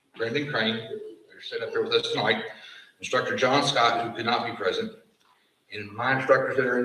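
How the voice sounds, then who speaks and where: Room echo can be heard. The talking goes at a fairly quick pace. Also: man. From Appalachia. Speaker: fire science program director. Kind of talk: graduation ceremony speech. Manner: formal.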